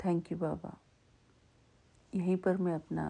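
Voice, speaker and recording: A woman speaks in a dark, mellow tone with vocal fry. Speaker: devotional satsang speaker. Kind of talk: devotional talk. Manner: slow; deliberate.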